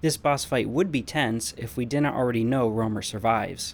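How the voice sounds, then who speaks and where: This is an unremarkable speaking voice at a moderate pace. Its pitch variation is ordinary. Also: man. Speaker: video game reviewer. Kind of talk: scripted narration.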